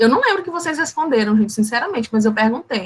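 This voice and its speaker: The speaker is a woman. Her intonation is lively. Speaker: teacher. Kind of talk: online class lecture. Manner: animated.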